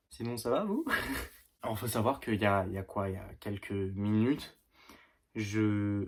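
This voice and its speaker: A man talks at a fairly slow pace in a flat, monotone way, leaving long, frequent pauses. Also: fairly low pitch for a man. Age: 20s. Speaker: beginner YouTuber. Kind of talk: casual vlog to camera. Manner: halting, hesitant.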